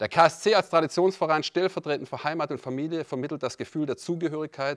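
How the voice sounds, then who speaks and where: Against a quiet background, a man with a fairly high pitch speaks at a moderate pace. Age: 50s. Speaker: club vice-president candidate, company director; candidate. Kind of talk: prepared campaign speech. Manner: formal. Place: meeting room. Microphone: handheld.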